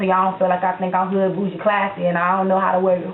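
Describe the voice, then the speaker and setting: A woman speaks at a medium pitch with an American accent. Audible room echo and noticeable background noise run through the recording. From Florida, Tampa Bay area. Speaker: YouTube vlogger. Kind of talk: casual vlog Q&A. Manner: animated; slurred words together.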